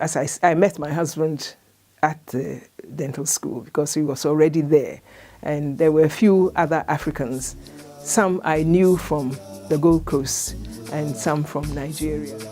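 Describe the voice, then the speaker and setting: With music in the background, a woman speaks at a very deep, low pitch, fairly slowly and with ordinary pitch variation, leaving long, frequent pauses. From Ghana. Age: 80s+. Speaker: retired dentist. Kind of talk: oral history interview answer.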